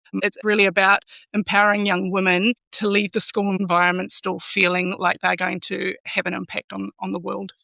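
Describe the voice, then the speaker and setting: In a slight New Zealand accent, a woman of medium pitch speaks at a moderate pace with a bright, sharp tone, vocal fry and monotone, flat intonation, in a dry, close sound with no echo. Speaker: school executive. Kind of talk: podcast interview.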